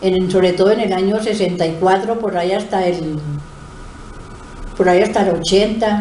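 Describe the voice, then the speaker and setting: A woman at medium pitch speaks at a moderate pace in a flat monotone, with long, frequent pauses, noticeable background noise and audible room echo. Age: 70s. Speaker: retired schoolteacher and principal. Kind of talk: interview. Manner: hesitant, many filler sounds.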